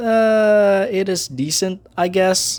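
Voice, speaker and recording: A man speaking with music in the background. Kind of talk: casual show review talk.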